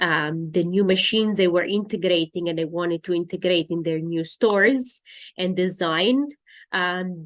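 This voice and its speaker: A woman speaks at a medium pitch with ordinary pitch variation against a quiet background. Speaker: school representative. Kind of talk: online presentation. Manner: halting.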